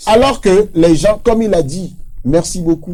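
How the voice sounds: A man speaks at a fairly slow pace, his pitch high and his tone dark and mellow. His intonation is lively.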